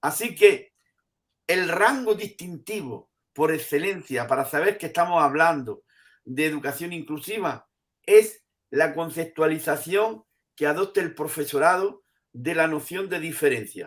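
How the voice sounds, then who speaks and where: Here a man talks in a normal speaking voice at a fairly slow pace. His pitch is fairly high, with ordinary pitch variation. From Andalusia, Spain. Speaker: professor emeritus of education. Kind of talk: interview answer.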